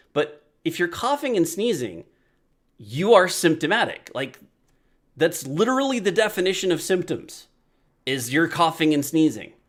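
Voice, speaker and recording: Loud speech at a moderate pace swings very widely in pitch on a very clean recording with a silent background. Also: man. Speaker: video podcast host. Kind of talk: casual monologue. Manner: conversational.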